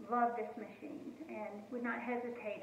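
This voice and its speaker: A woman with a high pitch speaks at a fairly slow pace, with audible room echo and noticeable background noise. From US South, North Carolina. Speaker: home cooking channel host. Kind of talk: casual home cooking video talk. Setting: home kitchen. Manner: hesitant, many fillers.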